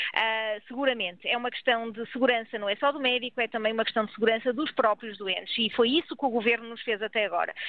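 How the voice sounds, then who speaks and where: Barely pausing, a woman races along at a very fast pace, her fairly high voice holding a fairly even intonation. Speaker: doctors' union president. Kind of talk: radio interview.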